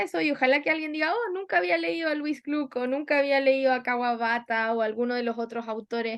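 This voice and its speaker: The voice belongs to a woman and sits high in pitch. Lively intonation runs through her speech. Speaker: book club leader. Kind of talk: casual chat. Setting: live stream. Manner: animated.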